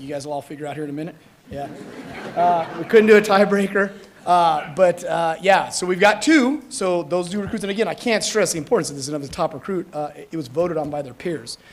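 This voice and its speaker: Noticeable background noise accompanies very fast speech with big swings in loudness. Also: man. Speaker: fire academy instructor. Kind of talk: ceremony speech. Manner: casual, halting with fillers.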